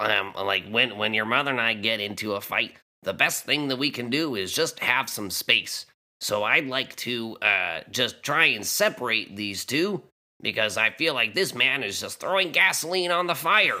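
A man puts on a character voice at a medium pitch, speaking at a moderate pace. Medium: actual play. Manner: hesitant, stammering.

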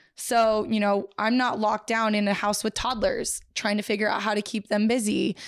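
In a very clean recording with a silent background, a woman with a fairly high pitch speaks at a moderate pace in a monotone, flat intonation, with hardly any pauses and very even loudness. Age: 30s. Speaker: high school history teacher. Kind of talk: casual chat.

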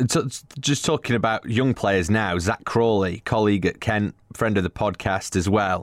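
An ordinary speaking voice: a man with a fairly low pitch talks at a moderate pace with ordinary pitch variation. The recording is very clean, with a silent background. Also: very even loudness. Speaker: podcast host. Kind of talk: casual chat.

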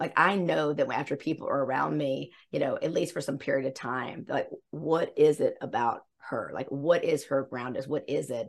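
A woman speaks at a moderate pace with hardly any pauses. Her accent is slightly Southern US. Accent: slight Southern twang. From US South, South Carolina. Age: 50s. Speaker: embodiment coach. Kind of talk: casual interview.

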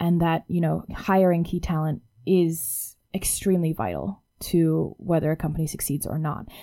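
Speaking with hardly any pauses, a woman uses a fairly low pitch and a dark, mellow tone, her intonation fairly even in a very clean recording with a silent background. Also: moderate pace. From Hong Kong. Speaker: startup founder. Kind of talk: interview.

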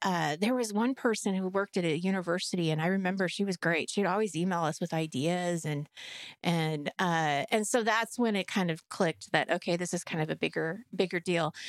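A woman's normal speaking voice at medium pitch, with ordinary pitch variation and a moderate pace, recorded very cleanly against a silent background, with a dry, close sound and no echo. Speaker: podcast host. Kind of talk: casual chat.

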